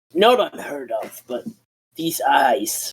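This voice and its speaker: A put-on character voice sits at a middle pitch. It has a raspy edge. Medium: actual play. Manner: halting, ponderous.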